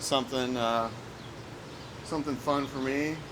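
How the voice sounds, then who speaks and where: A man with an American accent talks at a fairly slow pace and medium pitch, with fairly even intonation, over noticeable background noise and audible room echo. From US Midwest (central Illinois). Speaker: indie rock musician. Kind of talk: casual interview. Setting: outdoors. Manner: halting, many fillers.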